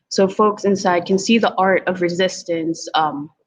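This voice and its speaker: A woman with a Filipino accent speaks at a medium pitch with fairly even intonation. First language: Tagalog. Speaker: community organizer. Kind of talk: presentation in a virtual panel. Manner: hesitant, many fillers.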